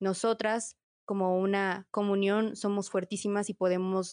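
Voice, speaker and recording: With an unremarkable speaking voice, a woman speaks at a medium pitch and fairly even intonation, the sound dry and close with no echo over a quiet background. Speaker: political science student, panelist. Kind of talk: casual panel discussion.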